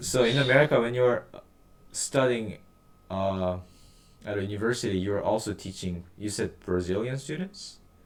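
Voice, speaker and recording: A man speaks at a fairly low pitch in a Korean accent, with ordinary pitch variation. He leaves long, frequent pauses. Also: moderate pace. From South Korea. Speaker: interviewer. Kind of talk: interview.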